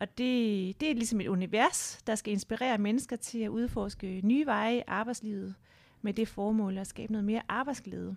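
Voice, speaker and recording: A woman with a fairly high pitch uses an ordinary speaking voice at a moderate pace and with fairly even intonation, in a very clean recording with a silent background. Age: 40s. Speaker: board member and career change entrepreneur. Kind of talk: interview conversation. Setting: studio.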